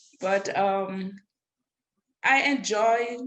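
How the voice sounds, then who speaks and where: Audible room echo surrounds a woman speaking in a Caribbean accent. Her pitch varies in an ordinary way. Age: 60s. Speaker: adult student. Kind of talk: panel discussion.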